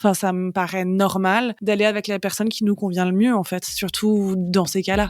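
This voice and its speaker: At a moderate pace and with hardly any pauses, a woman talks in a monotone, flat intonation at a medium pitch for a woman. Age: 30s. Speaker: comic book author, cancer survivor. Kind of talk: podcast interview testimony. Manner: casual, hesitant with many fillers.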